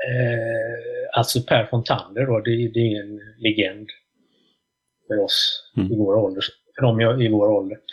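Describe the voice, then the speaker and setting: Flat, monotone intonation carries speech that moves rather slowly. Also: man, medium pitch for a man. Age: 40s. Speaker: drummer and music journalist. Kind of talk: casual interview chat.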